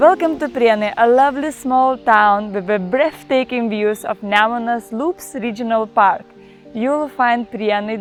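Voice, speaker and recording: A woman's fairly high voice at a moderate pace, with ordinary pitch variation and music in the background. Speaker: travel vlogger. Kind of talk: travel guide narration.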